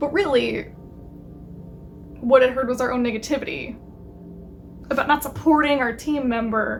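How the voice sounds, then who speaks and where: Music plays behind a woman speaking. Her pitch is high and her intonation fairly even. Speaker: lifestyle YouTuber. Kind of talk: casual video monologue.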